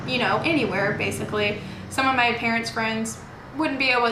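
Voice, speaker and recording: A woman in a Texan accent, fairly high-pitched and very fast, with noticeable background noise and audible room echo. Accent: Texan American. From Texas, Houston area. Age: 20s. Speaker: nursing student. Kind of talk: interview. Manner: casual, many fillers.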